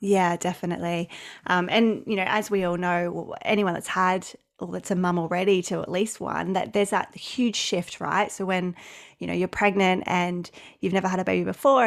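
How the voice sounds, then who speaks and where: A woman with an Australian accent, medium in pitch, at a fairly quick pace. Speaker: business coach and summit host. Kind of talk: casual interview chat. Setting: remote call, different time zone.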